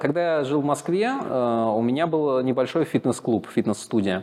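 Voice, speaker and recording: Over noticeable background noise, a man speaks at a fairly slow pace with lively intonation and hardly any pauses. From Moscow, Russia. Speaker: relocated entrepreneur. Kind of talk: interview.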